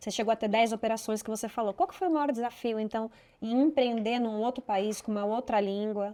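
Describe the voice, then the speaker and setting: A woman with a dark, mellow tone and fairly high pitch talks at a fairly quick pace with ordinary pitch variation. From Brazil, São Paulo. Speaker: podcast host. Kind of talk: interview.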